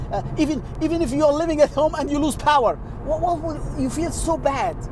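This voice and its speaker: A man with an Arabic accent, extremely high in pitch, fairly quick, with ordinary pitch variation and noticeable background noise. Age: 60s. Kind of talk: religious talk to camera. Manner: halting.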